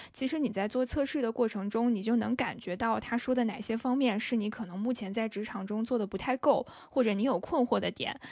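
A woman speaks at a fairly quick pace with hardly any pauses, her fairly high pitch moving with ordinary variation. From northern China. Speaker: podcast host, guest on another show. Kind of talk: casual chat. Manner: soft-spoken.

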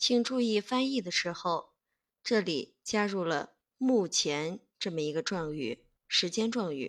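A woman speaks very slowly at a medium pitch, her voice making very wide pitch swings and big jumps in loudness. The recording is very clean, with a silent background. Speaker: English teacher. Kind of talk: tutorial.

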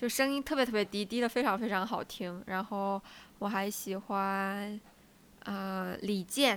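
Speaking in a normal speaking voice, a woman keeps a medium pitch and fairly even intonation at a fairly slow pace, in a very clean recording with a silent background. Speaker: podcast co-host. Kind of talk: casual chat.

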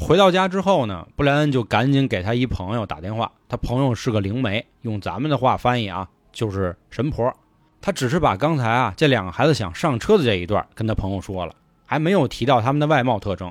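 Animated in tone, a man talks at a fairly quick pace with very wide pitch swings. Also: medium pitch for a man. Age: 30s. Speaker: podcast host and storyteller. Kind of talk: scripted storytelling narration. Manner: animated, colloquial.

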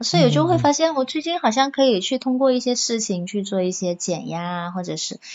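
A woman with an ordinary speaking voice, at a moderate pace and with lively intonation. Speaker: office worker. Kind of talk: casual chat.

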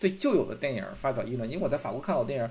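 This man's speech races along very fast. His voice carries vocal fry. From Beijing, China. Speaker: film critic. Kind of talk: casual chat. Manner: repetitive, stammering restarts.

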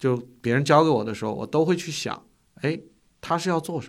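A man talks at a moderate tempo, his pitch varying in an ordinary way, captured on a very clean recording against a silent background. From China. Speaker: finance executive. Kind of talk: interview. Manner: hesitant, filler-heavy.

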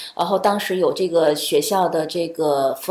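A woman speaks in a fairly low voice with ordinary pitch variation. Noticeable background noise can be heard. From China. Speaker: accompanying parent of an international student. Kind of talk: casual interview. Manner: hesitant, many fillers.

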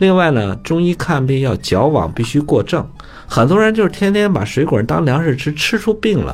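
A man speaks at a moderate pace with very even loudness, his pitch fairly high for a man. His pitch swings very widely, and background noise is noticeable. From northern China (Datong, Shanxi). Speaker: traditional Chinese medicine teacher. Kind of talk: casual educational radio talk. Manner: animated, many fillers and laughs.

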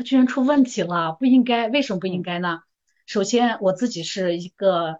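A woman talks at a moderate pace in a normal speaking voice. Her pitch sits in the middle of her range, with ordinary variation. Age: 50s. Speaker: medical worker. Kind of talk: casual chat.

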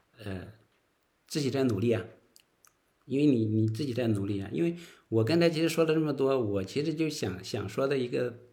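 A man with medium pitch and a dark, mellow tone, lively intonation, fairly quick pace, long and frequent pauses, and audible room echo. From northern China. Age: 40s. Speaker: interview guest sharing life story. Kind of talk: casual interview. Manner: halting, many filler words.

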